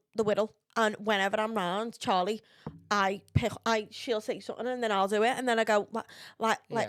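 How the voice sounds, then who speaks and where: At a fairly high pitch, a woman talks at a moderate pace in a monotone, flat intonation. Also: very clean recording, silent background. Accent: Liverpool. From Liverpool. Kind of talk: casual chat.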